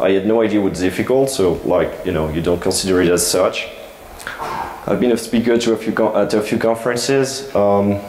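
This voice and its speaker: Over noticeable background noise and audible room echo, a man speaks at a fairly quick pace. His loudness stays very even. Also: medium pitch for a man, ordinary pitch variation. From France. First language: French. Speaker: security researcher, conference speaker. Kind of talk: conference talk. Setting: stage with audience. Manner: halting, many fillers.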